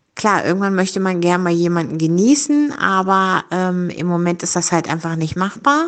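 A woman has an unremarkable speaking voice with medium pitch. She talks at a moderate pace against a quiet background. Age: 50s. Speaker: rehab clinic service worker. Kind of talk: personal monologue, guest contribution.

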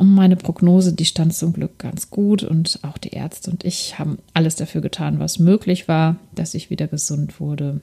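A woman with a fairly low pitch and a dark, mellow, somewhat breathy tone talks with fairly even intonation and hardly any pauses. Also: moderate pace. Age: 40s. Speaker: lifestyle podcast host. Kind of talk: solo podcast monologue, personal testimony and coaching.

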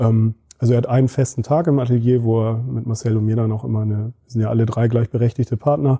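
The man's voice sits at a medium pitch, with a dark, mellow tone and a somewhat breathy quality. He speaks at a very fast pace with fairly even intonation, in a dry, close sound with no echo. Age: 30s. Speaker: agency managing director. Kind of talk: interview.

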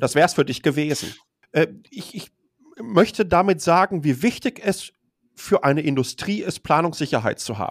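In a dry, close sound with no echo, a man with a high pitch talks at a moderate pace with lively intonation, big swings in loudness, and long, frequent pauses. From Germany, Ruhr area (Dortmund). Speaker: tech blogger and communications executive. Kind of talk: casual interview chat.

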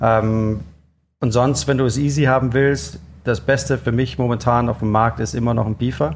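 The speaker is a man with a medium pitch. He has a slight Danish accent. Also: ordinary pitch variation, moderate pace, very even loudness. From Denmark. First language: Danish (speaking German). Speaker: chef. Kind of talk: interview. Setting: food festival.

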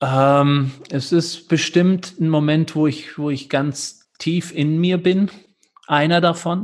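Very slowly, a man speaks with a fairly high pitch. His intonation is fairly even. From California, USA. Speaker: yoga teacher. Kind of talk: interview; guided meditation instructions.

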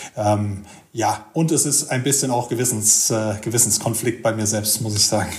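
Audible room echo surrounds a man as he speaks. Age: 40s. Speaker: freight forwarder. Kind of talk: casual interview. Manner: hesitant with fillers.

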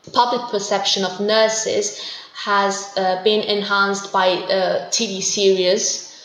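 A woman at medium pitch speaks very slowly in a flat monotone, her loudness swinging a lot, with audible room echo and noticeable background noise. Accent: Italian. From southern Italy, Puglia. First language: Italian. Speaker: interpreter and researcher. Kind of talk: interview. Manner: hesitant with fillers.

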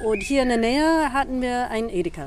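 A woman with an English accent. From US Northeast (New York, Boston). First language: English (speaking German). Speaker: performance artist and choreographer. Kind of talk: casual interview. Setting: outdoors. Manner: halting, searching for words.

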